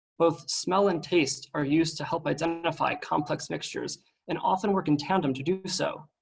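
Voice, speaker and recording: Using a fairly high pitch with vocal fry, a man speaks in an American accent with fairly even intonation. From United States. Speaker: researcher. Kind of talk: seminar talk.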